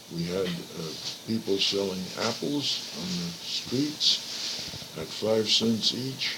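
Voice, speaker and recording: A man with a medium-pitched voice talks while noticeable noise fills the background. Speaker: grandfather being interviewed about his life. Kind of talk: interview answer, recalling life history. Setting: old cassette recording, poor quality. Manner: slow, hesitant, with pauses and fillers.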